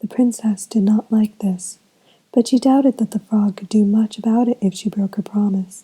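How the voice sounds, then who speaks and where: At a moderate pace, the voice comes across as soft-spoken. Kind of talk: bedtime story.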